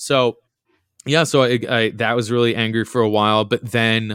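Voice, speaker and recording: With an ordinary speaking voice, a man speaks at a fairly low pitch in a dry, close recording with no echo that is very clean, with a silent background. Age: 30s. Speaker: sound engineer. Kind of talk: casual chat.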